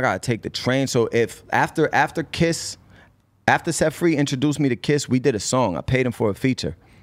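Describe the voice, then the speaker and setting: A man talks at a fairly quick pace. He has a Boston accent. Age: 30s. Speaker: rapper. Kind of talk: casual interview. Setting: studio. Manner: animated.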